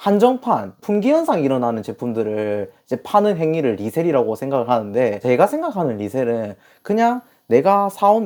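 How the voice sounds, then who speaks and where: On a very clean recording with a silent background, a man in a strong Gyeongsang accent speaks at a moderate pace, his dark, mellow tone making very wide pitch swings. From South Korea, Masan (Gyeongsang). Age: 20s. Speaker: online reseller, business owner. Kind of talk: interview. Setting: host's office.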